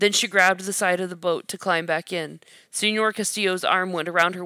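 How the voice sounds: Fairly even intonation runs through this natural reading voice.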